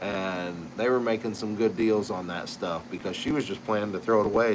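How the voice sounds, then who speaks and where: A man with a normal speaking voice, fairly low in pitch, with fairly even intonation. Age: 60s. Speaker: pipe maker and channel host. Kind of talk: casual chat. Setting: live stream. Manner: relaxed, conversational.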